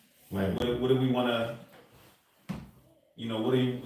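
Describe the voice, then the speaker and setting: Flat, monotone intonation comes through audible room echo and noticeable background noise. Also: man. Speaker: meeting facilitator. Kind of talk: group meeting discussion. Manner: halting, many fillers.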